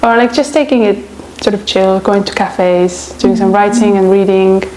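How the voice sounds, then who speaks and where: Noticeable background noise sits under the recording. A woman with an Estonian accent speaks at a fairly quick pace. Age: 20s. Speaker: traveler and writer. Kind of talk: interview. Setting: on camera. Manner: casual, hesitant with many fillers.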